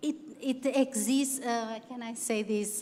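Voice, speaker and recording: A very slow, fairly high-pitched woman's voice with a non-native accent. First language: not English. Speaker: university teacher. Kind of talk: panel discussion. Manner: halting.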